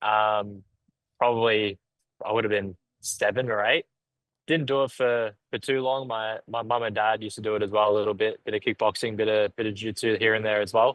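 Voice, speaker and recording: Talking at a fairly quick pace in an Australian accent, a man with a fairly low pitch keeps a monotone, flat intonation. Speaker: professional MMA fighter. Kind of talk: podcast interview.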